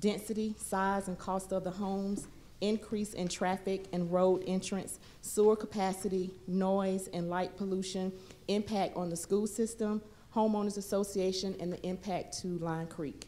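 A woman speaks at a moderate pace. Her intonation is monotone and flat. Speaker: city planning staff; presenter. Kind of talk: formal staff presentation. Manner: formal. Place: meeting room. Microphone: podium.

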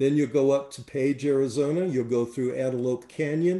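A man speaks at a medium pitch with a dark, mellow tone, ordinary pitch variation and a moderate pace, with audible room echo over a quiet background. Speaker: tour director. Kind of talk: webinar presentation. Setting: online webinar. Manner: enthusiastic. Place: home room. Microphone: webcam.

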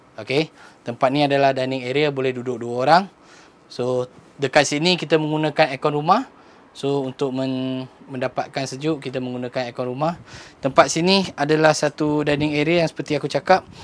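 A man's medium-pitched voice moves at a fairly quick pace with fairly even intonation.

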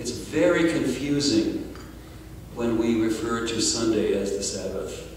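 A man speaks in a room with strong echo and light background noise. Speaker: panelist. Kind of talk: panel talk. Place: hall. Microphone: handheld.

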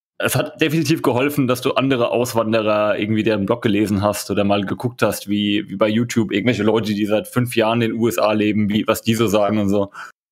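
A man with a medium pitch and fairly even intonation talks at a fairly quick pace. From Germany. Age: 30s. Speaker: emigrant. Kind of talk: casual interview.

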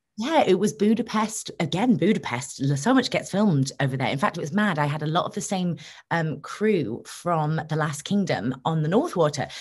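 A woman's fairly low, somewhat breathy voice at a moderate pace, with lively intonation, hardly any pauses and a quiet background. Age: 20s. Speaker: actress. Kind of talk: interview. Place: home room. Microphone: video call.

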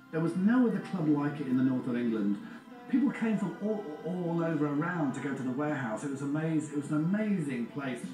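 A man at a fairly quick pace, with audible room echo and clear music in the background. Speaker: interviewee. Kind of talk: interview answer. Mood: nostalgic, animated. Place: garden.

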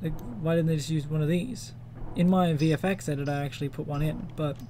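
Here a man speaks with an Australian accent at a fairly quick pace. His pitch is fairly high, with ordinary variation. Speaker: 3D modeller, game fan. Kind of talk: casual tutorial talk to camera.

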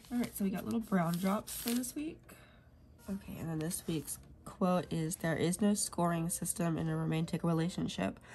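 Fairly low in pitch, a woman speaks at a moderate pace with ordinary pitch variation, her tone dark, mellow and somewhat breathy. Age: 30s. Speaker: planner vlogger. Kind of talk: casual vlog, plan-with-me chat. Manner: casual, chatty, rambling.

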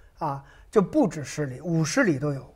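With lively intonation, this man's speech proceeds at a moderate pace. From Hunan, China. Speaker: painter. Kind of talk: interview. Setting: studio.

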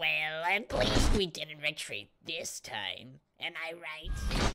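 A raspy put-on character voice at middle pitch and a very slow pace, with sound effects in the background. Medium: audio drama. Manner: gloating, smug.

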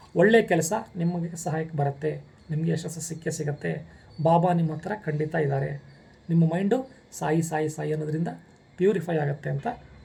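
A man's fairly high voice, dark and mellow in tone, with fairly even intonation. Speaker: spiritual guidance channel host. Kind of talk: devotional Q&A monologue.

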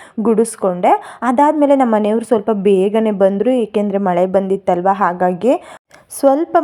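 Noticeable background noise runs beneath the speech. Its pitch rises and falls in an ordinary way. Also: woman. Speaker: lifestyle vlogger. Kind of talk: vlog narration.

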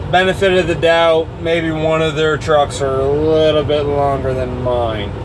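A very slow pace over noticeable background noise. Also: man. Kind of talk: casual vlog chat. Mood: mildly annoyed, explaining. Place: car. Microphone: phone near.

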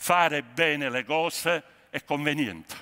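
A man's bright, sharp voice stands out against a quiet background. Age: 60s. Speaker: sociologist; conference speaker. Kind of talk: keynote speech. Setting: stage with audience. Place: hall.

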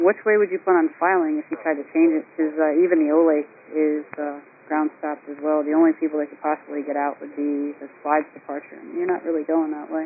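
A woman's low-pitched voice with a slightly husky edge, a fairly quick pace and little pitch movement

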